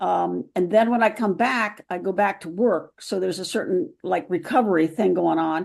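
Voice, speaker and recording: Vocal fry at a moderate pace, with ordinary pitch variation and a quiet background. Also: woman, medium pitch for a woman, hardly any pauses. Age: 70s. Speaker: senior runner asking a question. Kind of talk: audience question. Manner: halting, hesitant.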